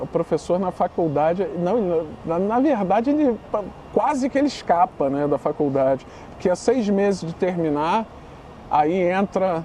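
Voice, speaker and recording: This man has a high pitch and a northeastern Brazilian accent. He talks at a moderate pace. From Brazil, Northeast. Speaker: literature teacher. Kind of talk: podcast interview. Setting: studio, on camera. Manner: casual, animated.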